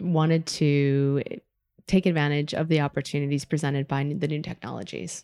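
On a very clean recording with a silent background, a woman with a very deep, low pitch talks at a moderate pace with ordinary pitch variation. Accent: American. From US Midwest (Madison, Wisconsin). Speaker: learning strategy consultant. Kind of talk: podcast interview. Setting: hotel meeting room in London.

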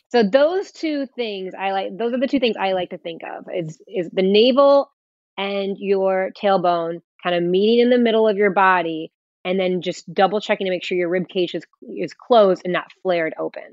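Delivered in an unremarkable speaking voice, a woman's speech has medium pitch, ordinary pitch variation and a moderate pace. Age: 40s. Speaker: fitness trainer. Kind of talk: interview.

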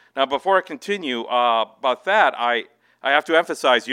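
A man with an American accent talks at a moderate pace in a normal speaking voice, his intonation lively. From Minnesota. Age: 40s. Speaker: novelist. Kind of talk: author reading and Q&A. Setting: bookstore event with audience.

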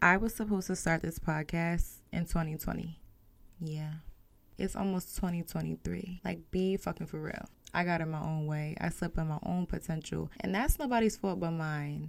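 A woman's unremarkable speaking voice, fairly low in pitch, at a moderate pace with fairly even intonation. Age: 20s. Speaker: podcast host. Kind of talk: personal monologue. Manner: casual, conversational.

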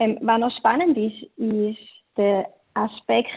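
This is a plain, everyday voice at a fairly slow pace. Pitch variation is ordinary. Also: woman. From eastern Switzerland. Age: 20s. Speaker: wedding planner. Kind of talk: interview.

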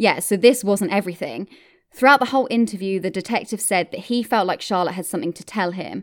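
On a very clean recording with a silent background, a woman with a British accent speaks very fast at a medium pitch, with big swings in loudness. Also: ordinary pitch variation. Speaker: true crime podcast host. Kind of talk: true-crime narration, scripted-style storytelling. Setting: podcast recording. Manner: steady, measured, clear.

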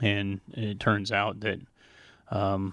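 A man with an American accent talks at a fairly low pitch. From Montana, US. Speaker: fish biologist and warehouse manager. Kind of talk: podcast interview. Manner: hesitant, many filler words.

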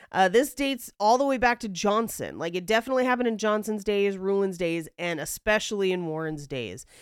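A woman in a plain, everyday voice, at a fairly quick pace with lively intonation and hardly any pauses. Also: medium pitch for a woman, very clean recording, silent background. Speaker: podcast co-host and comedian. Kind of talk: casual chat.

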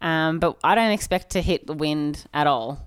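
A woman with an Australian accent speaks at a fairly slow pace in a very deep, low voice. The recording is very clean, with a silent background. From Australia, Bendigo, Victoria. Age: 30s. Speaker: cyclist and bike team manager. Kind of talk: casual chat.

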